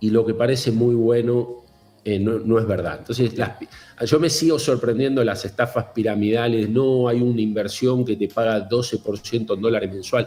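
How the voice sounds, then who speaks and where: A man's medium-pitched, dark and mellow voice, somewhat breathy, at a moderate pace. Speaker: fintech executive. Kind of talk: interview.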